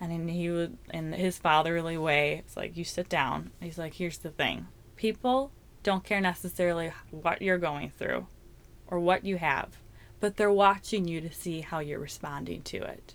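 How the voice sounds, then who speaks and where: An unremarkable speaking voice, its pitch moving up and down in an ordinary way. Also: woman, fairly low pitch for a woman, moderate pace. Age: 30s. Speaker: worship leader. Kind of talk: testimony.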